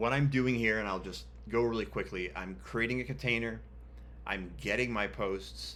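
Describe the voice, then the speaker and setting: With long, frequent pauses, a man talks at a moderate pace in a fairly low pitch. His pitch swings very widely, and room echo is audible. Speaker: web developer tutorial host. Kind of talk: screen-share coding tutorial. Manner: casual, many filler ums.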